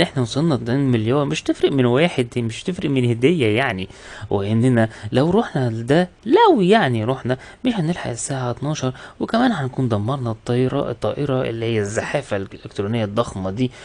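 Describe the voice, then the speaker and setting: Talking at a fairly quick pace, a man with an Egyptian accent uses a medium pitch and ordinary pitch variation. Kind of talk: movie recap narration. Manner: casual, conversational.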